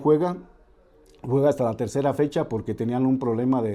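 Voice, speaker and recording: A man's medium-pitched voice with a dark, mellow tone, ordinary pitch variation and a very fast pace. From Celaya, Mexico. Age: 60s. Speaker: football historian and radio host. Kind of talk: interview. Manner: halting.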